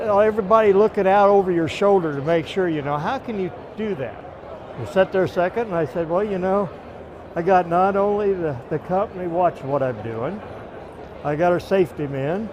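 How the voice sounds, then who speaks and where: Over noticeable background noise, a man talks at a fairly quick pace in a high voice with ordinary pitch variation. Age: 70s. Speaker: truck driver. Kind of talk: casual chat. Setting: trade show event.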